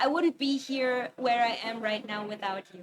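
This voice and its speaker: A woman's high-pitched voice with ordinary pitch variation amid noticeable background noise. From Germany. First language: German. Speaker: webcomic artist. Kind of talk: interview. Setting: convention stage, livestream. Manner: hesitant, many fillers.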